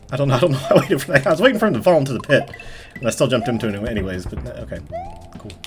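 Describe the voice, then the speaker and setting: Over music in the background, a man mumbles at a very fast pace with very wide pitch swings. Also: medium pitch for a man, big swings in loudness. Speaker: gaming youtuber. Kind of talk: let's play commentary. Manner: mumbling.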